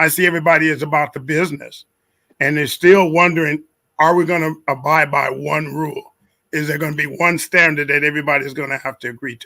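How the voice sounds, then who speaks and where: A man talks at a very fast pace and a fairly high pitch, his tone bright and sharp, his intonation monotone and flat, and his loudness swinging widely. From Milwaukee, Wisconsin. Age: 70s. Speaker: retired school administrator. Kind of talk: panel discussion.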